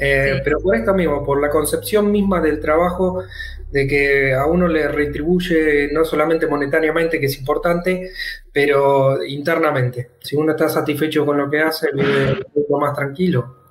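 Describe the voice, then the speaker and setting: A man with a fairly high pitch speaks at a moderate pace with fairly even intonation and very even loudness. Music plays in the background. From Argentina, La Plata. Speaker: digital nomad and teacher. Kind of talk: casual interview. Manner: halting, many repeated words.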